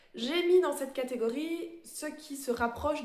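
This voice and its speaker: Ordinary pitch variation from a woman speaking fairly slowly, with audible room echo and noticeable background noise. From Belgium. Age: 30s. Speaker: embroidery vlogger. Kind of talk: casual show-and-tell vlog. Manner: hesitant, many fillers.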